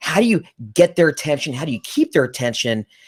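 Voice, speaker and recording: At a very fast pace, a man with a fairly high pitch makes very wide pitch swings, recorded dry and close with no echo. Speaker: recruiter and podcast host. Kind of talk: casual chat. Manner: halting, repeats words.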